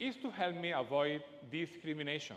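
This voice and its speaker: A man with a strong Spanish accent, fairly high in pitch, at a moderate pace. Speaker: speaker. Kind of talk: TEDx talk. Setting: stage with audience.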